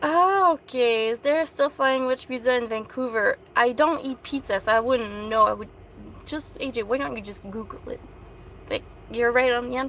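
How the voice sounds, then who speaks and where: Speaking in a French Canadian accent, a woman uses a high pitch, ordinary pitch variation and a moderate pace. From Quebec. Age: 30s. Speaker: van-dwelling vlogger. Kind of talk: live stream Q&A chat. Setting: in her van. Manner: animated.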